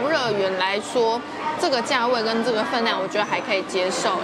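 A woman talks at a fairly quick pace with crowd noise in the background. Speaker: food vlogger. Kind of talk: casual vlog chat. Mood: playful, teasing. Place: cafe.

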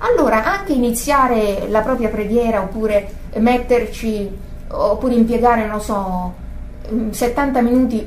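The speaker is a woman with a moderate pace. Background noise is noticeable behind her. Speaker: religious teacher. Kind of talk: religious teaching. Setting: group gathering. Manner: halting.

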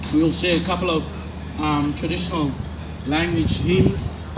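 Noticeable background noise behind a man speaking at a moderate pace. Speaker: choir spokesperson. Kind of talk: formal stage introduction. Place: stage.

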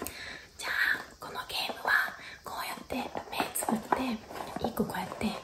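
A woman speaks at a fairly slow pace. Loud background noise runs beneath her voice. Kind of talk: casual playful talk to a child. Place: home room. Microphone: phone near.

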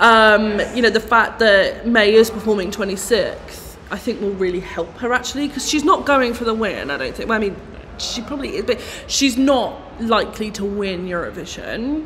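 With an East Midlands accent, a woman speaks in an animated tone at a fairly high pitch. Her pitch varies in an ordinary way, over light background noise. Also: moderate pace. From English Midlands. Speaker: pop contest commentator. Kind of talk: casual chat. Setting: video call. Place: shop. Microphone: phone near.

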